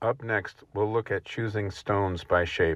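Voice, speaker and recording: This man has a fairly low pitch and an American accent, speaking at a fairly slow pace with ordinary pitch variation. The recording is very clean, with a silent background. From Rhode Island, USA. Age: 60s. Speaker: stone wall builder, excavator operator. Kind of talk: instructional voice-over narration.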